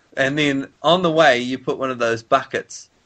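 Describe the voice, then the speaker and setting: Speaking at a fairly slow pace, a man has an ordinary speaking voice with a fairly high pitch and fairly even intonation. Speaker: amateur voice performer. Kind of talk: casual comedic conversation.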